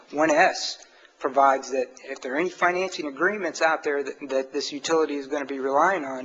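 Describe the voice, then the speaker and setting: There is noticeable background noise as a man with a fairly high pitch speaks fairly quickly, using ordinary pitch variation. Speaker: appellate attorney. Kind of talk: oral argument in court. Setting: courtroom. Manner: halting, many fillers; quiet.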